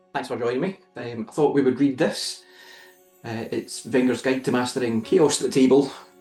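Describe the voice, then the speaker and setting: A man with a medium pitch and fairly even intonation speaks over music in the background. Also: long, frequent pauses. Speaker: author. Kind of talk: audiobook reading by the author.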